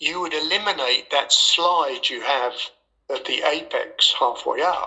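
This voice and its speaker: A man speaks with an English accent. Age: 80s+. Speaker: former racing driver and driving coach. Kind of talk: casual interview.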